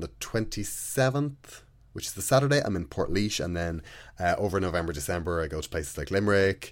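On a very clean recording with a silent background, a man with an Irish accent speaks in a very deep, low voice with lively intonation. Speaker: podcast host and stand-up comedian. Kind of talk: casual solo podcast intro.

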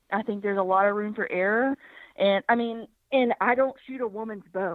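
Fairly even intonation carries speech in a Southern US accent. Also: woman. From US South, Birmingham, Alabama. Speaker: hunter. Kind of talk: casual interview. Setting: phone call.

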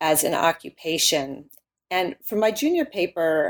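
This woman has a plain, everyday voice with a fairly low pitch. She speaks with an American accent and lively intonation. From US Midwest, Illinois. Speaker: history professor and author. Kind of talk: interview.

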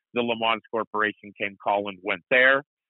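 A man with an American accent talks in a normal speaking voice at a moderate pace, his fairly low pitch held in fairly even intonation. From US Midwest. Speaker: motorsport announcer and racing league owner. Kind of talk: casual interview chat.

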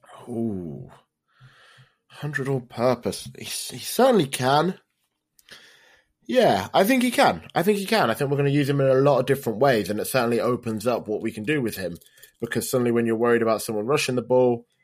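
With a British accent, a man speaks at a fairly quick pace and a medium pitch, with lively intonation and long, frequent pauses. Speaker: football fan podcaster. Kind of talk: casual chat.

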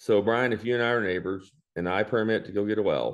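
A man with a West Texas accent and a fairly low pitch talks with fairly even intonation against a quiet background. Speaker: farmer and veterinarian. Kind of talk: interview.

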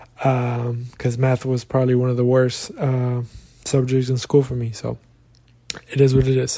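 Somewhat breathy male voice with a dark, mellow tone, medium pitch, monotone, flat intonation and a moderate pace. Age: young. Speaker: soccer podcast host. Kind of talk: casual solo talk. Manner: casual, filler-heavy.

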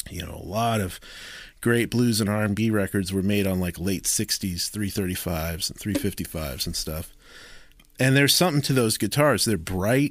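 A man with an American accent and an unremarkable speaking voice talks at a moderate pace, fairly low in pitch with ordinary pitch variation, on a very clean recording with a silent background. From rural Maryland, US. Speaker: guitarist. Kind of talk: casual chat.

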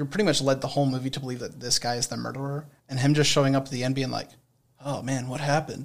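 A man's medium-pitched, monotone voice at a very fast pace. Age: 20s. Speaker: generations expert and former radio presenter. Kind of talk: casual chat.

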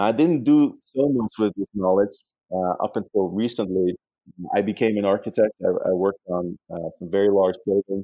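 At a moderate pace, a man speaks at a fairly low pitch with ordinary pitch variation and a dark, mellow tone, in a dry, close sound with no echo. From Netherlands. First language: Dutch. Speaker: urban design professor and author. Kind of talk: interview. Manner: halting, frequent repetitions.

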